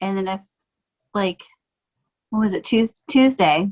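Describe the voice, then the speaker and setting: Her tone comes across bright and sharp. She has an American accent. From Michigan, near Detroit, Canadian border. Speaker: realtor and mom, podcast guest. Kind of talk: casual interview.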